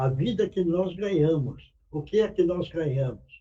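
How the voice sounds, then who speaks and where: Speech unfolds at a very slow pace. Its tone sounds dark and mellow. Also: man. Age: 80s+. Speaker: spiritist meeting speaker. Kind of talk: sermon.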